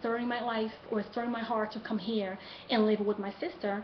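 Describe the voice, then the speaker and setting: Noticeable background noise sits under a woman speaking at a moderate pace in a Brazilian Portuguese accent. Her fairly high pitch stays monotone and flat. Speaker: college student. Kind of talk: class speech assignment, personal story. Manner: halting.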